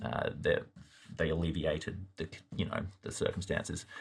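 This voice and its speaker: A somewhat breathy man with an Australian accent at a moderate pace, on a very clean recording with a silent background. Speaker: youth pastor. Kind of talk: Bible study discussion. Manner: halting, repeats words.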